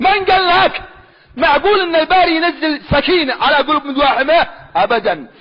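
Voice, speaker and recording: In a Sanaa accent, a man speaks with a passionate tone at an extremely high pitch, keeping a moderate pace and very even loudness. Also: ordinary pitch variation. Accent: Sanaani Yemeni Arabic dialect. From Sanaa, Yemen. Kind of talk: religious argument, preaching. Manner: passionate, emphatic.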